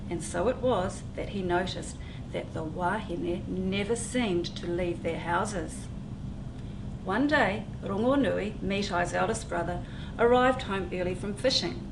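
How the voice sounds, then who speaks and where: Noticeable background noise runs behind a woman at a medium pitch. She speaks at a fairly slow pace with ordinary pitch variation. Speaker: children's book author reading her own story. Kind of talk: children's storytime reading.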